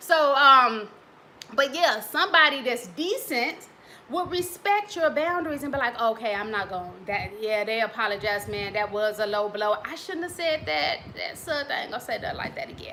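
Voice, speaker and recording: A woman with a high-pitched voice swings very widely in pitch and loudness shifts a lot, over noticeable background noise. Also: moderate pace. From US Midwest. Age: 40s. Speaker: relationship coach and author. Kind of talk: casual talk to camera. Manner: conversational.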